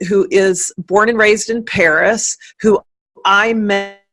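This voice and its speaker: Very slowly, a woman speaks at a medium pitch with a bright, sharp tone. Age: 50s. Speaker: writer, life coach and speaker. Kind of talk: casual interview chat.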